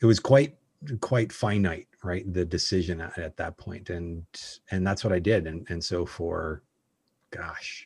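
A man with a Canadian accent speaks at a fairly slow pace in a very deep, low pitch. His voice is somewhat breathy, and the sound is dry and close with no echo. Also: quiet background. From Calgary, Canada. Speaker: personal brand strategist. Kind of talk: interview conversation. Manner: halting, frequent repetitions.

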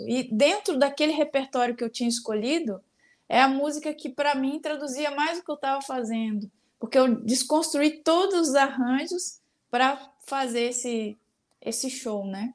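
A woman's high voice at a moderate pace, with ordinary pitch variation, on a very clean recording against a silent background. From Minas Gerais, Brazil (near Belo Horizonte). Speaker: singer-songwriter. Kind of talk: casual interview.

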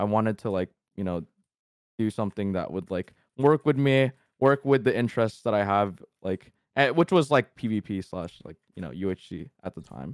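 Speaking at a moderate pace, a man with an unremarkable speaking voice has a fairly low pitch, lively intonation and big swings in loudness. The recording is very clean and dry, with a silent background and no echo. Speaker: YouTuber and streamer. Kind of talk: casual chat.

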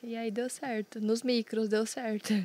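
At a moderate pace, a woman talks in a plain, everyday voice over a very clean recording with a silent background. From Londrina, Paraná, Brazil. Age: 20s. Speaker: professional poker player, streamer, former taekwondo athlete. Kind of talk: casual chat.

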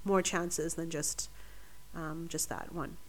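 A woman's bright, sharp voice with vocal fry and a Canadian accent. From Vancouver, British Columbia, Canada. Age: 20s. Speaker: medical student. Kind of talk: casual chat.

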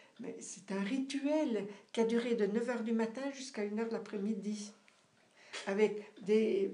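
A woman talks at a very slow pace. Her fairly high voice carries audible room echo. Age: 70s. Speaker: parishioner. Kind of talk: casual chat. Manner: halting.

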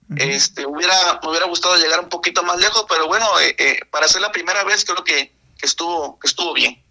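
In a raised, projected voice, a man talks at a high pitch and fairly quick pace, with a dry, close sound and no echo. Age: 20s. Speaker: esports gamer. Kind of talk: radio interview.

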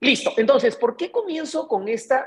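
With vocal fry and very wide pitch swings, a woman talks at a fairly slow pace. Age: 50s. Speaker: real estate broker and show host. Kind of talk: live online talk with audience. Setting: video call.

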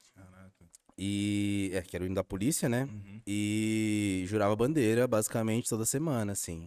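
Dark, mellow-toned speech at a moderate pace, with big swings in loudness and ordinary pitch variation. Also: man, fairly low pitch for a man. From São Paulo, East Zone. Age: 30s. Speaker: rapper. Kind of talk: casual interview chat. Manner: animated, slangy.

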